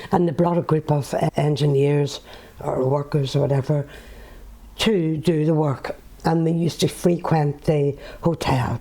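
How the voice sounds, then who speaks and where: With a Northern Irish accent, a woman speaks at a fairly slow pace, her very deep, low pitch held in fairly even intonation and very even loudness. Long, frequent pauses break up her speech, and background noise is noticeable. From Northern Ireland. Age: 70s. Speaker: author and former nurse. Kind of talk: interview answer.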